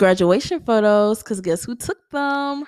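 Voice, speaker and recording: With an American accent, a woman at medium pitch speaks with lively intonation. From Louisiana, Baton Rouge. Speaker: podcast host, college student. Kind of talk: casual chat.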